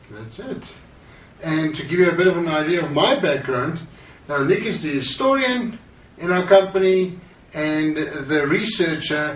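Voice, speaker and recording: A man with a South African accent speaks high and fairly slowly, his intonation lively and his loudness swinging a lot. Audible room echo and noticeable background noise fill the recording. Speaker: branding consultant. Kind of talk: course introduction.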